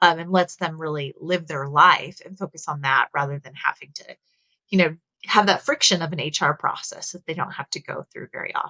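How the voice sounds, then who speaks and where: A woman with a Texas accent, fairly quick in pace and fairly low in pitch, her intonation fairly even amid big swings in loudness. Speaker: HR technology executive. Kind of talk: webinar discussion.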